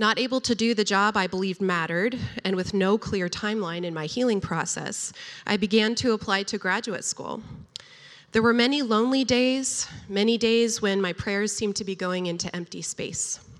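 A woman has an unremarkable speaking voice at a medium pitch. She talks at a moderate pace. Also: ordinary pitch variation. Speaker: storyteller. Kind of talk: personal testimony.

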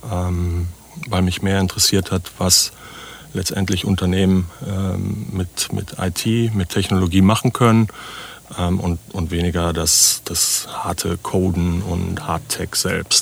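A man speaks very slowly in a very deep, low voice with monotone, flat intonation. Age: 50s. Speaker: startup founder. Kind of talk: interview conversation. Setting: on-site at guest's place, recorded in a vehicle.

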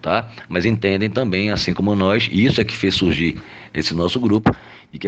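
A man rushes along at a very fast pace, his fairly low pitch rising and falling in an ordinary way. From Olinda, Pernambuco, Brazil. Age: 50s. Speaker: lawyer and club presidential candidate. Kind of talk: interview answers. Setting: recorded voice message.

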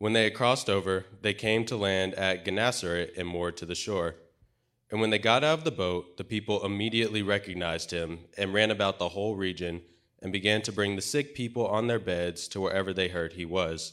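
On a very clean recording with a silent background, a man speaks in a normal speaking voice. His pitch is fairly low, with ordinary pitch variation. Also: fairly quick pace. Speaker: scripture reader. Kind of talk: reading aloud. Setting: church.

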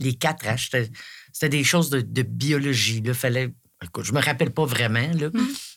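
The recording is very clean, and the background is silent. In it, a woman talks with a very deep, low pitch. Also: ordinary pitch variation, moderate pace. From Quebec, Eastern Townships. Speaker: retired border services manager, volunteer. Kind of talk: casual interview chat.

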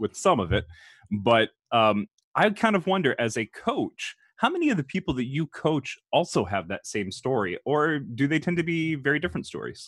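A man with vocal fry speaks at a fairly quick pace with very wide pitch swings, his voice dry and close with no echo on a very clean recording with a silent background. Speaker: podcast host and engineer. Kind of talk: interview.

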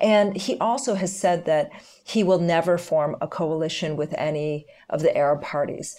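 A woman speaks with a Canadian accent at a fairly low pitch and moderate pace. It is an ordinary speaking voice. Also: ordinary pitch variation. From Canada. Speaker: lawyer and political analyst. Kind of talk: interview.

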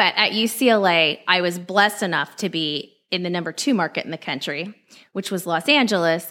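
A woman with a Californian accent speaks fairly quickly in a fairly low, bright and sharp voice with ordinary pitch variation. The recording is very clean, with a silent background. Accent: General American (Californian). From Southern California. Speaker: investigative TV reporter. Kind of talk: podcast interview.

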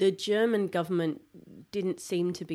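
A woman with an Australian accent speaks at a moderate pace in a dark, mellow tone with fairly even intonation. The recording is very clean, with a silent background. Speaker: podcast host. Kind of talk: casual chat. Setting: studio.

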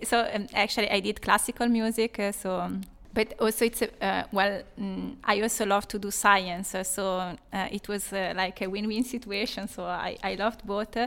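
A woman with an Italian accent and a fairly high pitch, at a moderate pace with hardly any pauses and fairly even intonation, on a very clean recording with a silent background. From Italy. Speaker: assistant professor of applied mechanics. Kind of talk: interview.

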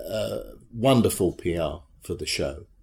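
In a British accent, a man speaks at a fairly slow pace on a very clean recording with a silent background. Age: 60s. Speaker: charity treasurer and former theatrical agent. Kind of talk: interview.

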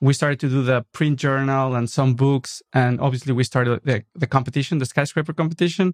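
In a Mexican accent, the speaker moves at a fairly quick pace with fairly even intonation and very even loudness. The sound is dry and close with no echo, over a quiet background. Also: man, medium pitch for a man. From Mexico City, Mexico. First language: Spanish. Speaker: architect and designer. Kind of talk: interview. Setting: studio.

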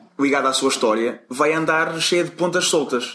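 A man with a somewhat high pitch and normal pitch movement talks rather briskly, with noticeable background noise behind him. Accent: European Portuguese. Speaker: storytelling expert and former salesman. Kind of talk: interview.

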